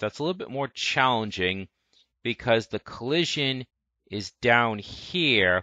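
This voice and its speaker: This is a man's voice. His pitch is medium. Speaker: game development tutorial creator. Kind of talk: tutorial. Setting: screen recording capturing system audio. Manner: fainter recording level.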